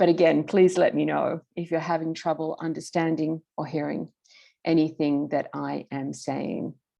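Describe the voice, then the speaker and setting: At a moderate pace, a woman with an American accent speaks against a quiet background. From Australia. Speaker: political theorist, professor. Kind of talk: lecture. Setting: online video call. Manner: careful enunciation.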